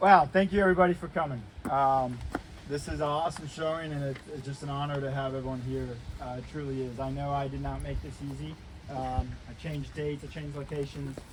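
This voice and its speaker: Very fast speech with fairly even intonation against noticeable background noise. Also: man, fairly high pitch for a man. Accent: American. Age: 30s. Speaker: army officer. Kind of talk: ceremony speech. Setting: ceremony with live audience. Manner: loud.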